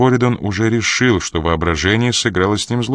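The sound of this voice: The passage comes through in an unforced reading voice.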